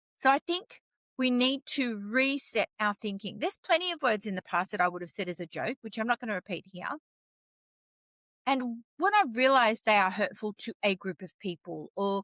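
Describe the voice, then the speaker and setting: A woman with an Australian accent speaks loud at a moderate pace, her fairly high voice bright and sharp. Her tone is animated and her intonation lively, with a dry, close sound and no echo. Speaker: storyteller, vlogger. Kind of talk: impassioned opinion vlog.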